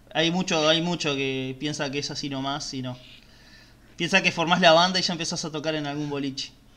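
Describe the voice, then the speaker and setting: A man speaks with a Rioplatense accent at a fairly quick pace. His pitch is fairly high, and his intonation stays fairly even. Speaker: podcast co-host. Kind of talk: casual interview.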